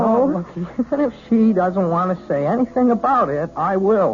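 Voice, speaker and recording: Music plays in the background as a man talks at a moderate pace. His high-pitched voice has very wide pitch swings. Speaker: young piano student. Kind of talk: vintage radio mystery drama.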